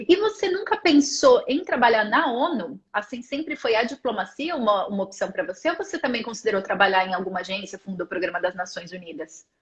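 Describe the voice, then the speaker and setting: Her fairly high voice swings very widely in pitch as this woman speaks at a fairly quick pace with hardly any pauses. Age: 30s. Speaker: interviewer, international careers content creator. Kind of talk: interview on live stream.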